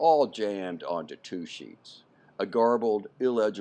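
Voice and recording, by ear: A natural voice reads the text aloud. Lively intonation runs through it.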